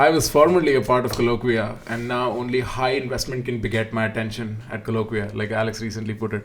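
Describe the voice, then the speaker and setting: Speaking very fast with hardly any pauses, a man with an Indian accent uses a medium pitch and fairly even intonation over noticeable background noise. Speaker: student debater. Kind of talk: casual panel discussion.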